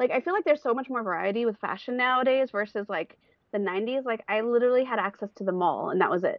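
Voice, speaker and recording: The speech comes at a very fast pace with a Californian accent. Pitch variation is ordinary. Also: woman, fairly high pitch for a woman. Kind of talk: casual chat.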